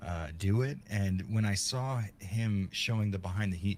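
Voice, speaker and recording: A man's very deep, low voice with an American accent, fairly slow in pace, with ordinary pitch variation. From South Florida. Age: 40s. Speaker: horror video essayist. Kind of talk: interview. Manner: halting.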